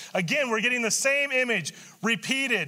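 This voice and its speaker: A raised, projected male voice, extremely high in pitch, with a bright, sharp tone, lively intonation and a fairly slow pace. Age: 60s. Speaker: pastor. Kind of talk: sermon. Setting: church. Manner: halting.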